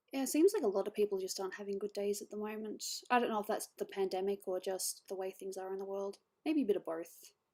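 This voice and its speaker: A woman speaks at a very fast pace with an Australian accent. Her medium-pitched voice has a dark, mellow tone and ordinary pitch variation. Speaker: digital artist streamer. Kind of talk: casual chat.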